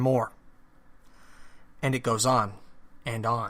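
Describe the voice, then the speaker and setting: This man has an American accent. He speaks at a moderate pace. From central New Jersey. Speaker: podcast host. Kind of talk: political talk podcast monologue. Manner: casual, with many fillers.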